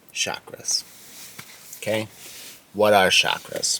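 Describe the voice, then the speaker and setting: Very slow, fairly low male speech amid noticeable background noise. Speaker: English teacher. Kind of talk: educational talk to camera for English learners. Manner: slow, clear.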